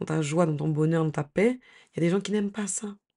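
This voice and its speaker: With a quiet background, a woman speaks at a fairly low pitch with fairly even intonation. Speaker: lifestyle YouTuber. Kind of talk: advice vlog. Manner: hesitant, many fillers.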